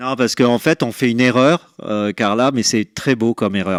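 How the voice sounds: At a moderate pace, a man speaks in a medium pitch with ordinary pitch variation and a dry, close sound with no echo.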